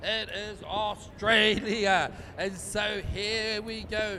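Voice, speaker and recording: A man speaks in a raised, projected, high-pitched voice with monotone, flat intonation. Noticeable background noise is present. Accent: New Zealand. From New Zealand. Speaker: race commentator. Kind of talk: live commentary.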